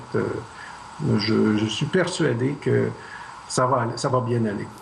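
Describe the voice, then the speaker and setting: Noticeable background noise and audible room echo fill the recording. A man talks very slowly at a medium pitch, with ordinary pitch variation. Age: 60s. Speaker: math professor, Mars mission candidate. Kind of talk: tv interview.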